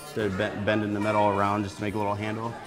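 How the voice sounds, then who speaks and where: Clear music plays in the background as the speaker talks at a fairly quick pace. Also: man. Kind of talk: interview answer. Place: bar.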